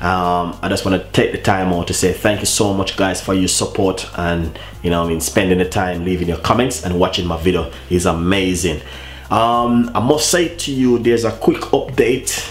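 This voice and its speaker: Against light background noise and audible room echo, a man with a very deep, low pitch talks at a moderate pace with ordinary pitch variation. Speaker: cooking channel host. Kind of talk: casual vlog chat. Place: kitchen. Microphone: camera far.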